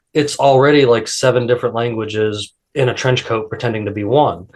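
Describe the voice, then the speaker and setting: A man with an American accent has a medium pitch, fairly even intonation and a somewhat breathy voice. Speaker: podcast host. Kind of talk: casual chat.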